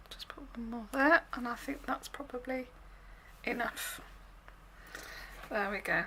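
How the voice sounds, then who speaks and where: A woman talks at a high pitch and fairly slow pace, with long, frequent pauses and ordinary pitch variation. Her loudness swings widely, and there is noticeable background noise. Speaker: craft demonstrator. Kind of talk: tutorial. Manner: casual.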